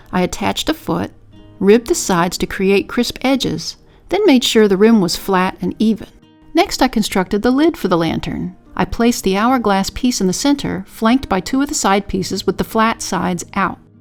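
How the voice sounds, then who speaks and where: Over music in the background, a woman with a medium pitch talks at a moderate pace with lively intonation. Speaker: potter. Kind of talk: pottery tutorial voice-over.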